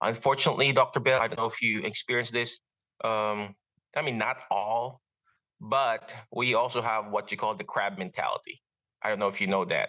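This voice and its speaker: Over a quiet background, a man with a Filipino accent speaks fairly quickly at a medium pitch, with a bright, sharp tone and ordinary pitch variation. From Philippines. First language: Filipino language. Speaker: physical therapist. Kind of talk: interview. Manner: halting, many fillers.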